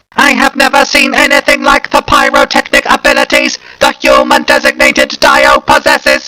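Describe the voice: In a put-on character voice, a man projects an extremely high-pitched, raised voice with monotone, flat intonation and hardly any pauses. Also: moderate pace.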